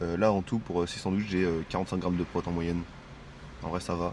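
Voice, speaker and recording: A man's very deep, low voice moves along at a fairly quick pace. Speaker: fitness vlogger. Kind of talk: casual vlog talk to camera. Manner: fast; filler-heavy, hesitant.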